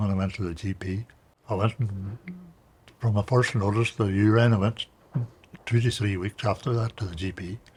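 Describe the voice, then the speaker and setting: In a Northern Irish accent, a man talks at a moderate pace with long, frequent pauses. His fairly low voice is somewhat breathy, and his intonation stays fairly even. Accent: Northern Irish (Tyrone). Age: 70s. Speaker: farmer and cancer survivor. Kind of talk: interview testimony. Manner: halting.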